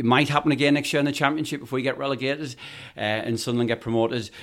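A man talks with a Geordie accent. The recording is very clean, with a silent background. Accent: Geordie, Tyneside. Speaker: football fan. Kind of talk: casual chat.

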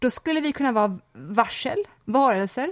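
Her pitch is high, and the speaker is a woman. She talks at a moderate pace with lively intonation. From rural Sweden. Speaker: podcast co-host. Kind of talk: casual chat. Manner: sighing exhalations at the start.

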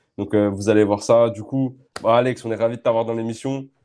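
Against a quiet background, a man with a dark, mellow tone and medium pitch talks at a very fast pace in a monotone, flat intonation. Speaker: podcast co-host. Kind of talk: casual chat.

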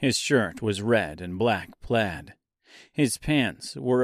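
Lively intonation runs through an unforced reading voice. Behind it, the background stays quiet.

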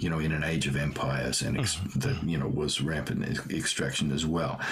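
The speaker uses an Australian accent and keeps a moderate pace. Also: man. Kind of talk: casual chat. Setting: video call.

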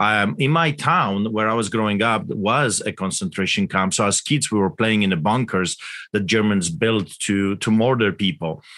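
Against a quiet background, a man with a Polish accent speaks at a moderate pace in a fairly low, bright, sharp tone with very even loudness. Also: ordinary pitch variation. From Poland. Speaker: pastor. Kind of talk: interview. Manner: animated.

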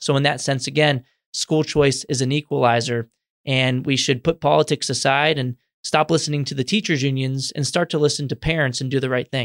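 Recorded very clean with a silent background and a dry, close sound with no echo, a man with an American accent speaks at a fairly high pitch and a fairly quick pace. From Texas, San Antonio. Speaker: education policy researcher. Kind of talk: interview. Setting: in-person studio. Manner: energetic.

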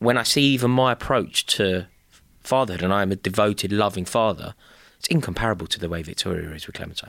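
Talking at a very fast pace, a man with a London accent has a fairly low pitch and ordinary pitch variation. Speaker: podcast co-host. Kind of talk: casual chat.

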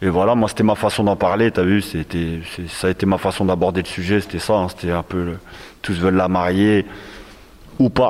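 Speaking with fairly even intonation, a man with a very deep, low voice leaves long, frequent pauses. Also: moderate pace. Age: 40s. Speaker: rapper. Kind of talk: casual discussion. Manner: halting.

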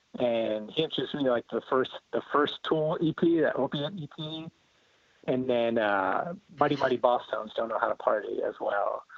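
A man with an American accent, an ordinary speaking voice, a fairly slow pace and ordinary pitch variation. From central New Jersey. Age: 40s. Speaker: musician. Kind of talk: casual chat.

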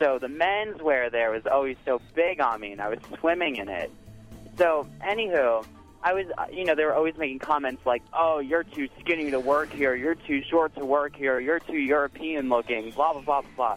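A man's fairly high voice at a moderate pace, ordinary pitch variation, with music in the background. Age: 20s. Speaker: radio call-in caller. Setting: phone. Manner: casual, chatty, uses filler words.

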